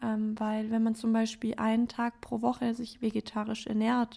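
Over a silent background in a very clean recording, a woman speaks fairly slowly in a fairly high, somewhat breathy voice with monotone, flat intonation. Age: 20s. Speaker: yoga teacher. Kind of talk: interview. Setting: living room at home.

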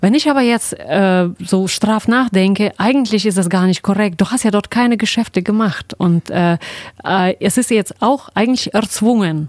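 A woman speaks at a moderate pace and medium pitch, with very even loudness. It is an unremarkable speaking voice. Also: ordinary pitch variation. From Russia. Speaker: radio host. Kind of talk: radio interview. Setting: studio.

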